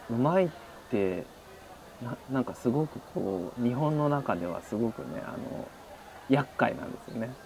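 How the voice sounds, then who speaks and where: A man speaks at a moderate pace and medium pitch with lively intonation, big swings in loudness, long and frequent pauses, and noticeable background noise. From Japan, Shizuoka. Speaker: art lecturer. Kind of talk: casual interview.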